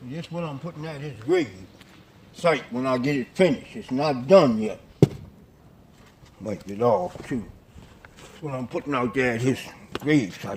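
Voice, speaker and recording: Over noticeable background noise, a man with a medium pitch talks at a moderate pace with lively intonation, big swings in loudness, and long, frequent pauses. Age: 60s. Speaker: family member interviewed in documentary. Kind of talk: casual chat.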